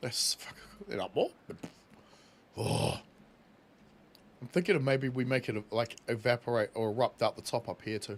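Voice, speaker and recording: Speaking with a New Zealand accent, a man at medium pitch keeps a moderate pace with long, frequent pauses, ordinary pitch variation and big swings in loudness. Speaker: gaming streamer. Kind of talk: live gameplay stream chat.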